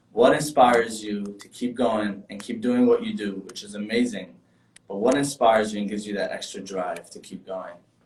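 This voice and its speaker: A man with a New York accent speaks at a moderate pace and medium pitch. His intonation is fairly even, though his loudness swings widely. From New York (Brooklyn, Borough Park). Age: 20s. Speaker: furniture company representative and show host. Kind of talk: casual interview. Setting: live video stream.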